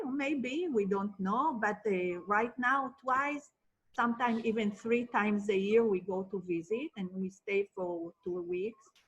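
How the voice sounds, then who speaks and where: A woman talks with an Israeli accent, fairly high in pitch. Her pace is fairly slow and her intonation lively. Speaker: marriage and family therapist. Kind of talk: interview.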